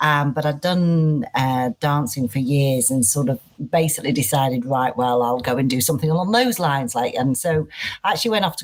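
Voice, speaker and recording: With a Manchester accent, a woman speaks using lively intonation. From northern England, Manchester. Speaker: head of people and culture. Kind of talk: podcast interview. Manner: high energy.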